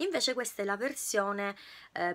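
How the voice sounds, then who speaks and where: This woman's medium-pitched voice has a bright, sharp tone. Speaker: beauty YouTuber. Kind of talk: product review vlog. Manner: loud. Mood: cheerful, enthusiastic. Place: home room. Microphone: phone near.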